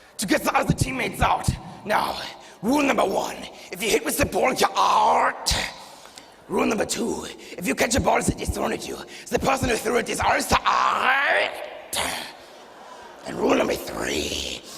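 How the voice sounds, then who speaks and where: In a put-on character voice at an extremely high pitch, a man talks at a moderate pace amid clear background noise and a clear echo. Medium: stage play. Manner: barking, bossy.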